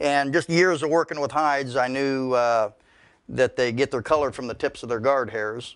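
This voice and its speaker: A man is speaking with ordinary pitch variation. The background is quiet. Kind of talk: interview answer. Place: workshop.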